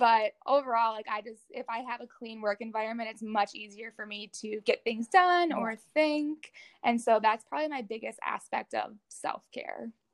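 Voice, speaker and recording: Speaking in a normal speaking voice with an American accent, a woman with a fairly high pitch and ordinary pitch variation moves at a moderate pace with hardly any pauses, big swings in loudness, and a dry, close sound with no echo. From Minnesota, Twin Cities area. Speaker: graduate student. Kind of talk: interview.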